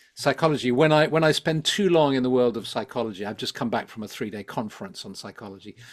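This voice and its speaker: A man with a London accent talks at a very fast pace and medium pitch. His intonation is lively, on a very clean recording with a silent background. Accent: southern English (London). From London, England. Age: 70s. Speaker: psychologist and spiritual teacher. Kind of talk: interview conversation. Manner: hesitant, many fillers and repetitions.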